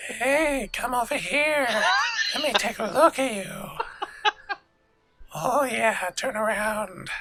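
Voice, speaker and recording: In a put-on character voice that is fairly high and raspy, the speaker goes very slowly with long, frequent pauses. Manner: creepy.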